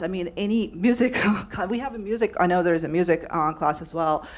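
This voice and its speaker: A woman speaks with a non-native accent and a fairly low pitch, her pitch varying in an ordinary way. The recording is very clean with a silent background. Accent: foreign. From overseas, non-US. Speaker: public media worker, former orchestra director. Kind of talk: community forum comment. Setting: panel forum with audience. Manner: halting, many fillers.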